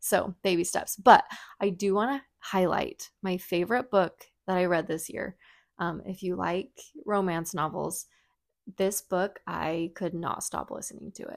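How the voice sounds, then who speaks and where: A woman's medium-pitched voice with vocal fry, fairly slow pace and ordinary pitch variation on a very clean recording with a silent background. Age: 30s. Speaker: podcast host, mother of twins. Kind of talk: casual chat.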